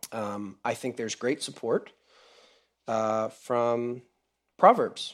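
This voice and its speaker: Speaking very slowly with long, frequent pauses, a man keeps a medium pitch and fairly even intonation. The recording is very clean, with a silent background. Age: 30s. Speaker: preacher. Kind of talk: sermon. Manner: casual, with many fillers.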